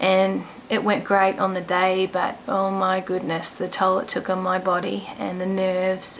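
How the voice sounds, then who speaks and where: A woman speaks quietly at a medium pitch and a fairly slow pace. She leaves hardly any pauses. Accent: Australian. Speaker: vlogger sharing illness story. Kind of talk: personal testimony vlog. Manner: quiet, hushed; hesitant, many ums.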